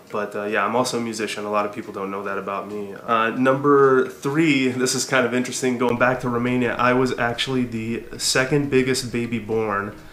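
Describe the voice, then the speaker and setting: Speaking at a fairly quick pace with hardly any pauses, a man with an American accent uses a medium pitch and fairly even intonation, with audible room echo and noticeable background noise. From US, Southern California. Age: 30s. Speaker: hiking vlogger. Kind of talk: casual vlog monologue. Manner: halting with many fillers.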